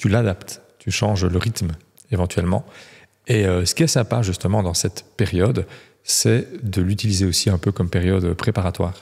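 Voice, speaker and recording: A man's very deep, low voice, somewhat breathy, with ordinary pitch variation and very even loudness. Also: moderate pace, quiet background. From Belgium. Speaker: real estate coach, former agency manager; real estate coach. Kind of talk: casual interview. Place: studio. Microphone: studio mic.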